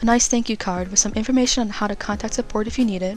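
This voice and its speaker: Music plays in the background as a woman speaks at a very fast pace. Her pitch is fairly high and her intonation fairly even. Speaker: digital artist. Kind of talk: product review voice-over.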